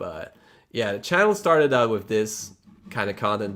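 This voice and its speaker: A man speaks with a Polish accent and a fairly low pitch. The recording is very clean, with a silent background. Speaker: electric unicycle YouTuber. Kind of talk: casual livestream chat. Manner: casual, halting.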